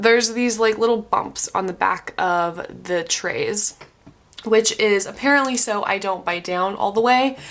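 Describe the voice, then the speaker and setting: Fairly slow delivery from a woman, ordinary pitch variation, and noticeable background noise. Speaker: vlogger. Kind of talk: casual video update. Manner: hesitant, many fillers.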